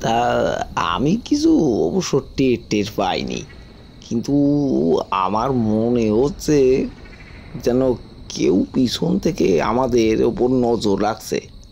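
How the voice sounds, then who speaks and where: A man puts on a shaky character voice at a very slow pace, with lively intonation and a medium pitch. Clear background noise can be heard behind him. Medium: audio drama. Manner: stammering, trembling.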